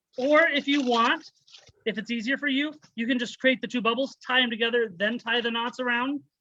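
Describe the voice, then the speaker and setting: A man with an American accent speaks in a raised, projected voice at a high pitch. His tone is bright and sharp, and his pace fairly quick. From United States. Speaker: balloon artist. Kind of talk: tutorial. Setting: video call. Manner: fast.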